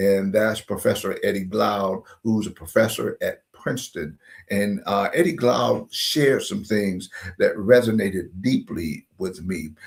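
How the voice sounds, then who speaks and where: With a normal speaking voice and an American accent, a man talks at a fairly slow pace in a fairly low pitch with ordinary pitch variation. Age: 60s. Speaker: history YouTuber. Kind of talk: livestream commentary. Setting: livestream.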